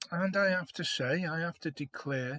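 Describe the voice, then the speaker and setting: A man with a British accent at a very slow pace, with ordinary pitch variation and a dry, close sound with no echo. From Liverpool, England. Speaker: vlogger. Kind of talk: casual opinion monologue. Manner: hesitant, many fillers.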